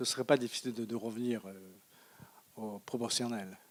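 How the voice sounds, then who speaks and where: His voice sits at a medium pitch. The intonation stays monotone and flat throughout. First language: Japanese (speaking French). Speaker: economist lecturer. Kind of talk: Q&A after lecture. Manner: halting, many hesitations.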